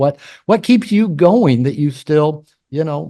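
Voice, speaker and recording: Against a quiet background, a man speaks with a fairly high pitch. His tone is dark and mellow, and his intonation is lively. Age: 60s. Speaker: podcast host and therapist. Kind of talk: interview. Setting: video call.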